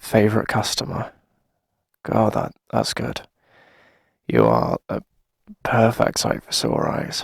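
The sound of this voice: A man's put-on character voice at fairly low pitch, with big pitch swings, vocal fry and a slightly husky edge, at a slow pace with long, frequent pauses, in a dry, close sound with no echo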